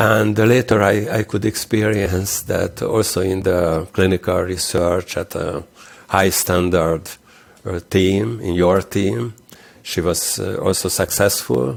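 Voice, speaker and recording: Vocal fry runs through a man's very deep, low voice. He talks at a very slow pace with ordinary pitch variation. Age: 60s. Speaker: interventional cardiologist. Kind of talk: interview. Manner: halting.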